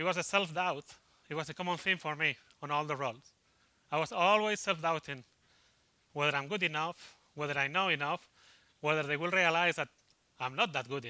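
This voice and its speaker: A fairly high-pitched man with a Spanish accent, a fairly quick pace, ordinary pitch variation, and long, frequent pauses. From Spain. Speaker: IT consultant. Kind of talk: conference talk. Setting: stage with audience. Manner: fast.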